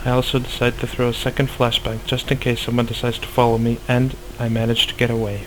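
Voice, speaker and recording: Over noticeable background noise, a man at medium pitch talks very fast in a flat monotone with hardly any pauses. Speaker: gaming youtuber. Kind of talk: tutorial.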